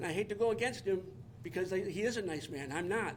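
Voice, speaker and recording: A high-pitched man speaks with lively intonation. Audible room echo surrounds his voice. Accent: American. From Detroit, Michigan. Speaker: resident speaking at public comment, military veteran. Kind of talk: public comment at township meeting. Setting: township boardroom meeting. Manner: fast.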